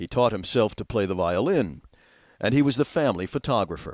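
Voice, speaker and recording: A plain, everyday voice with lively intonation, captured in a very clean recording against a silent background. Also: man. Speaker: TV host, narrator. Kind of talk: TV feature narration.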